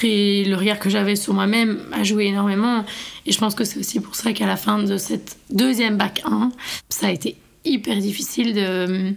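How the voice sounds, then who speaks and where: With fairly even intonation and a medium pitch, a woman uses an unremarkable speaking voice at a moderate pace. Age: 20s. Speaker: university student. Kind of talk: personal testimony.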